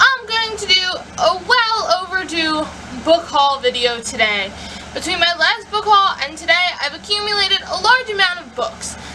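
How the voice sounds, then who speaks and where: A woman speaks in a raised, projected voice at an extremely high pitch, with very wide pitch swings and big jumps in loudness. She keeps a moderate pace over noticeable background noise. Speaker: book vlogger. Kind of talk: casual vlog.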